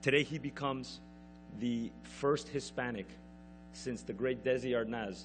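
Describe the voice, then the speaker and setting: Male speech with music playing behind it and clear room echo. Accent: American. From United States. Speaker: TV network executive. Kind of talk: award ceremony speech. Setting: stage with audience. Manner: formal.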